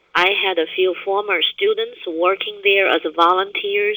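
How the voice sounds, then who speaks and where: A fairly slow delivery in a Taiwanese accent. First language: Chinese (Taiwan). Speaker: university business professor and researcher. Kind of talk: webinar presentation. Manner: halting, with frequent fillers and restarts.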